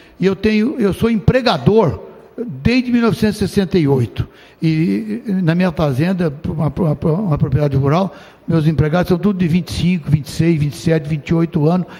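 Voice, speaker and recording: With a high pitch and lively intonation, a man speaks at a fairly quick pace. His loudness stays very even over noticeable background noise. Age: 70s. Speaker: state legislator. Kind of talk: parliamentary speech.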